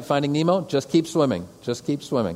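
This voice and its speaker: A man with an Upper Midwest accent speaks at a moderate pace in a fairly high pitch. His voice has vocal fry and very wide pitch swings. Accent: Upper Midwest American. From Metro Detroit, Michigan. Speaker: pastor. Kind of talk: lecture. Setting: stage with audience.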